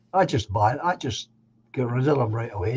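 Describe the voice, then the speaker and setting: A man's medium-pitched, somewhat breathy voice in a Scottish accent, fairly slow in pace with ordinary pitch variation, over a quiet background. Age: 70s. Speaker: live stream host. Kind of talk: casual chat. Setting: live stream.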